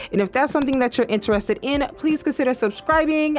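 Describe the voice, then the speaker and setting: The speaker sounds animated and talks at a very fast pace. Noticeable background noise runs underneath. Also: woman. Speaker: gaming YouTuber. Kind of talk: casual video commentary.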